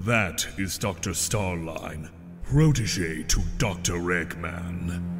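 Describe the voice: Over clear music in the background, someone delivers a put-on character voice at a very slow pace. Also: man, very deep, low pitch for a man.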